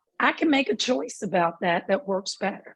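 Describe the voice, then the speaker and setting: A woman with a Southern US accent speaks in a somewhat breathy, animated voice with lively intonation. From US South. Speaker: mental health speaker. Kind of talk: lecture. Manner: slow.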